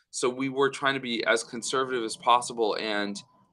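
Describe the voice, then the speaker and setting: A medium-pitched man with an American accent, on a very clean recording with a silent background. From United States. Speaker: startup founder. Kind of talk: podcast interview.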